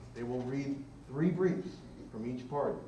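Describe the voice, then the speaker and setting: Over noticeable background noise and audible room echo, a man speaks at a fairly quick pace. His pitch variation is ordinary. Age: 70s. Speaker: retired law professor on an expert panel. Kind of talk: public panel discussion answering questions. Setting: public forum with live audience.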